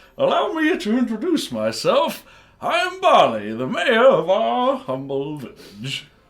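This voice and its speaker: Using a put-on character voice at an extremely high pitch, a man speaks at a fairly slow pace. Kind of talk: formal. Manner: formal, courteous.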